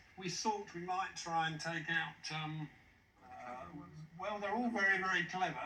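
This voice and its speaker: A man speaks in a high pitch at a fairly slow pace. His pitch varies in an ordinary way, and the room echo is audible. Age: 60s. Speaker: quiz contestant, retired sales manager. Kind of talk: casual chat.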